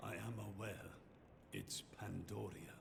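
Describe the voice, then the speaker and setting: A man puts on a character voice, pitched fairly low and delivered at a fairly slow pace. Loud background noise runs behind him. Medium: video game. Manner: grave, terse.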